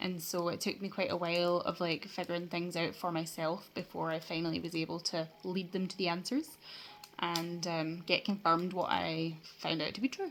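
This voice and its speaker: A woman speaks in a Scottish accent at a moderate pace. Her pitch is fairly low. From Scotland. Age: 20s. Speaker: vlogger. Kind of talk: personal vlog. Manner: halting, many fillers.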